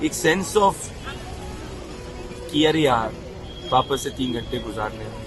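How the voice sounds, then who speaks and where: A man's voice with big swings in loudness and long, frequent pauses, music in the background. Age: 20s. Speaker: journalist. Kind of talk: personal narration to camera.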